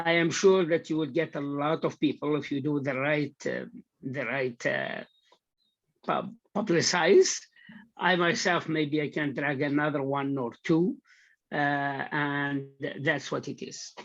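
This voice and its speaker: Everything behind the voice is quiet. The delivery moves at a fairly slow pace. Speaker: prospective trainee at demo session. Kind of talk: casual meeting discussion. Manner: loud; halting. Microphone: video call.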